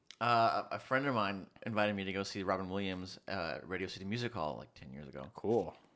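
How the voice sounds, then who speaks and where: On a very clean recording with a silent background, a man with an American accent and a fairly low, bright, sharp voice with vocal fry talks at a fairly quick pace with lively intonation and hardly any pauses. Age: 30s. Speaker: student. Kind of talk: casual chat.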